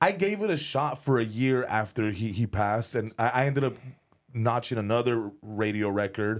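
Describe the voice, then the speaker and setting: A man uses a normal speaking voice at a medium pitch and a moderate pace, with ordinary pitch variation and very even loudness. The recording is very clean, with a silent background. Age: 30s. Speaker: comedian and former rapper.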